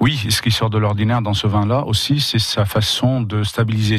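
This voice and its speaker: Fairly even intonation from a man, delivered at a moderate pace. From Lebanon. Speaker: winemaker. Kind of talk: radio interview. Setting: radio studio.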